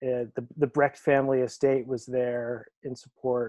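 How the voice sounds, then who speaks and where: A man with an American accent, dark, mellow tone and fairly slow pace against a quiet background. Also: dry sound with no echo. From Maine, US. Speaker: theatrical lighting designer. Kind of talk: interview. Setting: video call. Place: home room. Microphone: earbuds.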